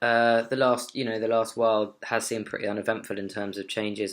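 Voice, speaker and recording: On a very clean recording with a silent background, a man with a fairly low pitch talks at a fairly quick pace in a monotone, flat intonation. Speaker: vlogger. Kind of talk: personal video diary. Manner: halting, many fillers.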